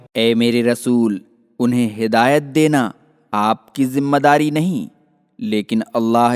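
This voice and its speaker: The sound is dry and close with no echo as a man speaks at a medium pitch with ordinary pitch variation. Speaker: voice-over artist. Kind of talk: religious scripture translation reading.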